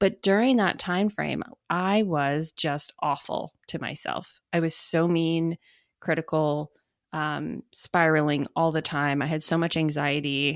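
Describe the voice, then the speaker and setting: At a fairly slow pace with ordinary pitch variation, the voice comes through a very clean recording, with a silent background and a dry, close sound with no echo. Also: woman, very deep, low pitch for a woman. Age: 30s. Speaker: podcast host. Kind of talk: personal storytelling monologue.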